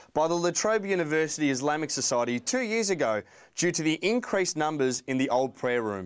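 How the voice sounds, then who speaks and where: This man has a plain, everyday voice at fairly high pitch. He talks at a fairly quick pace with lively intonation. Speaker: student news reporter. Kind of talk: news reading, scripted three-minute news piece. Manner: formal, even, scripted broadcast delivery.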